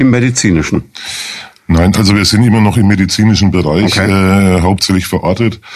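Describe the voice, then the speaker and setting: Fairly low in pitch, a man's plain, everyday voice moves at a fairly quick pace with fairly even intonation and very even loudness. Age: 50s. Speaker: lawyer, chair of a hospital support association. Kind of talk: radio interview.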